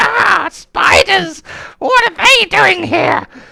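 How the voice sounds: A put-on character voice, shrill and at an extremely high pitch. It moves at a very slow pace.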